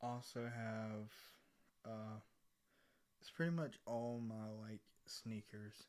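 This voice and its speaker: Soft-spoken, a man talks at a very slow pace in a fairly low pitch. His intonation is monotone and flat. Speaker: ASMR content creator. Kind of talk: casual rambling talk to camera.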